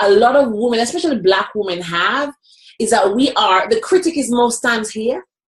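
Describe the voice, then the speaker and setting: A woman with a Jamaican accent speaks in a high voice at a moderate pace. Her tone is animated and her intonation lively. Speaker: motivational speaker. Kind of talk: interview conversation.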